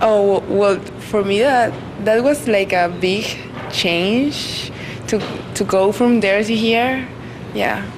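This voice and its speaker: A woman at medium pitch with a Spanish accent, speaking at a very slow pace with long, frequent pauses and ordinary pitch variation, amid noticeable background noise and audible room echo. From Colombia. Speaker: college student. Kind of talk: street interview. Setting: outdoors. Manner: halting.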